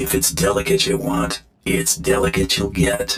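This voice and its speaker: Putting on a raspy character voice, a man speaks at a moderate pace with a very deep, low pitch. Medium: video game. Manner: terse, dry, sardonic.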